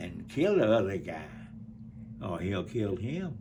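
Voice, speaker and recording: Heavy with audible room echo, the speech comes at a very slow pace in an Alabama accent. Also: man. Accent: Southern US (Alabama). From US South. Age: 90s. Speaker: war veteran. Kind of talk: interview. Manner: halting.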